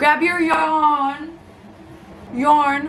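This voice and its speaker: A woman with a New York accent speaks in a high pitch. The recording has audible room echo and noticeable background noise. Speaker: YouTuber. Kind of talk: casual vlog. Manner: casual, filler-heavy.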